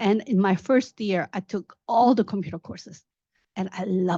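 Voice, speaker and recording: A non-native accent at a moderate pace, ordinary pitch variation, and a dry, close sound with no echo. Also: woman, quiet background. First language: not English. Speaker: tech professional, panel speaker. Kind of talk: career talk, personal story. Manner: halting, with fillers.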